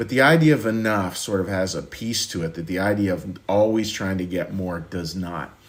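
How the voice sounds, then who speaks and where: A man's pitch shifts in a typical way, with audible room echo around him. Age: 60s. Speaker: pastor. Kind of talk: sermon. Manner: halting, frequent repetitions.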